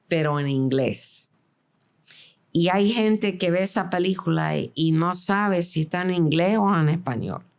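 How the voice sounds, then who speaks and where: This is an unremarkable speaking voice from a woman at a fairly slow pace. Her pitch varies in an ordinary way and her loudness stays very even. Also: fairly low pitch for a woman. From Venezuela (Caracas), born in New York. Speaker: film director and producer. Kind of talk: interview.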